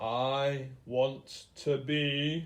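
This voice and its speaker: Putting on a character voice, a man growls at a medium pitch with flat, monotone intonation. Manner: growling.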